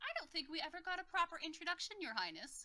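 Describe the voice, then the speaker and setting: A woman puts on a squeaky character voice at an extremely high pitch and a very fast pace. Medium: actual play. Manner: playful, flirtatious, calls people love.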